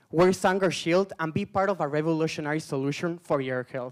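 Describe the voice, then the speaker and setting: A man with a non-native accent speaks at a fairly high pitch, recorded very clean with a silent background and a dry, close sound with no echo. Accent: foreign. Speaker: startup co-founder, student. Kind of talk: pitch presentation.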